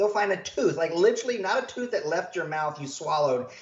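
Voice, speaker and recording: A man speaks with an American accent. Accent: country twang. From rural US. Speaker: health practitioner, doctor. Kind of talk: podcast interview. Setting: standing during interview. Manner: animated.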